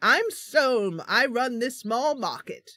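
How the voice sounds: A woman puts on a character voice with a British accent, pitched high. She speaks at a fairly slow pace.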